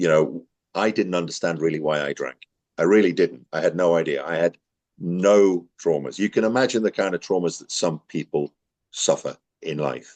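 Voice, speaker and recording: Ordinary pitch variation and a moderate pace come across in a dry, close sound with no echo. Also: man, very deep, low pitch for a man. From northern England, Newcastle. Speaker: recovery centre admissions worker, ex-resident. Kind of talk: interview testimony. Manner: loud, animated.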